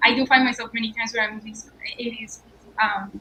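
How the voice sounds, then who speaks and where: Noticeable background noise sits behind a woman with a Colombian accent. Her pitch is fairly high. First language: Spanish. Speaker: startup founder. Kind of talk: panel discussion.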